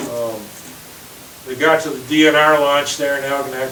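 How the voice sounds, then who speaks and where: A man with an American accent speaks at a moderate pace in a fairly high pitch. Noticeable background noise and audible room echo surround him. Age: 60s. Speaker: sturgeon conservation group member. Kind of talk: talk to a group with questions. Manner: casual, halting with many fillers.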